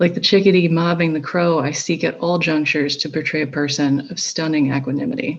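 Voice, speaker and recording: In an American accent, a woman speaks with a very deep, low pitch, somewhat breathy and with ordinary pitch variation. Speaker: poet. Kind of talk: poetry reading.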